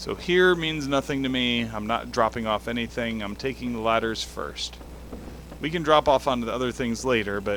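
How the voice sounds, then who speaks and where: A quiet man at a medium pitch and moderate pace, with ordinary pitch variation and noticeable background noise. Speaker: gaming video creator. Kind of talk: let's play commentary.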